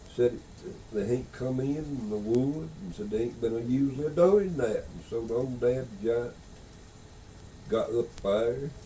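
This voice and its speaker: The speaker has a Southern Appalachian accent and a fairly slow pace. Long, frequent pauses break up speech with ordinary pitch variation. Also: man, medium pitch for a man. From Beech Mountain, North Carolina. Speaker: storyteller. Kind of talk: folk tale telling. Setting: audio cassette recording.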